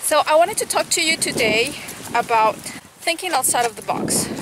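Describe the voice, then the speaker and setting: A woman talks at a fairly slow pace with lively intonation. The sound is dry with no echo, though background noise is noticeable. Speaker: equestrian vlogger and riding coach; equestrian vlogger. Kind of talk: casual vlog talk to camera. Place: farm. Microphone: phone near.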